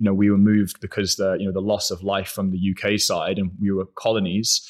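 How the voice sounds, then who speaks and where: A man with a British accent, fairly low in pitch, at a moderate pace in a monotone, flat intonation. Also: very clean recording, silent background. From UK, raised in London and Isle of Man. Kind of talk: casual interview chat. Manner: halting, with filler words.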